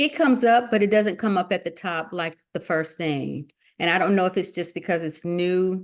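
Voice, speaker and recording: Against a quiet background, the speaker talks at a moderate pace with a strong Southern US accent. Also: woman, medium pitch for a woman, ordinary pitch variation. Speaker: notary, call participant. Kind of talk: casual Q&A on a call.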